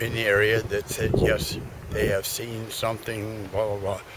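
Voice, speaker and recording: A man with an American accent speaks at a fairly slow pace over noticeable background noise. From US Pacific Northwest, Washington coast. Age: 60s. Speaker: local hunter and former mill worker. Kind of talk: interview. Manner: halting.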